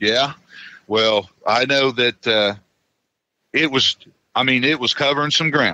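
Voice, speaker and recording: Against a quiet background, a man speaks at a medium pitch with a bright, sharp tone. The sound is dry and close, with no echo. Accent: American. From Kentucky. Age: 50s. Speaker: eyewitness. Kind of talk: interview, telling his story. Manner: casual, halting with repetitions.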